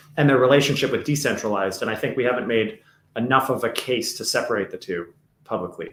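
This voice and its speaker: A man at medium pitch, very fast, with ordinary pitch variation. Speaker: crypto podcast co-host. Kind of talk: casual podcast discussion. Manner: animated.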